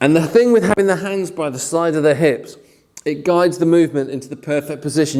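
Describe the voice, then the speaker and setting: This man has a fairly high pitch and a fairly quick pace. Noticeable background noise is present. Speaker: fitness instructor. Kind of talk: workout instruction. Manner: fast; energetic, encouraging.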